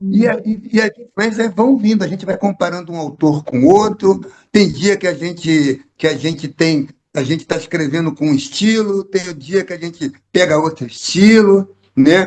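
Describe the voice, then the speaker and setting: A man with a high pitch talks at a moderate pace. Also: ordinary pitch variation. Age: 60s. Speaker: poet, actor and theatre director. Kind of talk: interview. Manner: halting, with repetitions.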